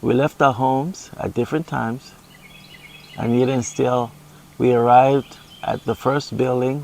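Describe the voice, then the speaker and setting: Speaking with a Caribbean accent, a man at medium pitch keeps a moderate pace and fairly even intonation, with long, frequent pauses. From Montserrat, Caribbean. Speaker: paraplegic husband, gardener. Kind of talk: casual Q and A interview.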